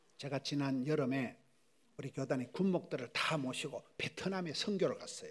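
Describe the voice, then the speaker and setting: A man's animated tone at a moderate pace, with ordinary pitch variation. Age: 60s. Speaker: pastor. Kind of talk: sermon.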